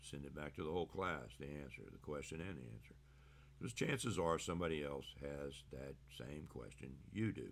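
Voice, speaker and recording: Long, frequent pauses from a man with a very deep, low pitch. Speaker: teacher. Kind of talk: casual classroom lecture. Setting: recorded video lecture.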